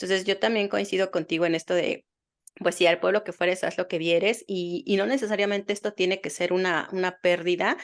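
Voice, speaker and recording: Against a quiet background, a woman talks at a fairly quick pace in a medium pitch with fairly even intonation. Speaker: psychotherapist podcast host. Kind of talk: podcast interview. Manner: fast.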